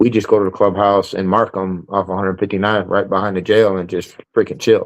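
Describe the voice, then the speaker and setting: A man with a northern US accent, fairly low pitch, monotone, flat intonation and a fairly quick pace. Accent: northern US, noticeable. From Chicago. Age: 40s. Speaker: motorcycle club member. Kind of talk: interview. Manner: casual, hesitant with fillers.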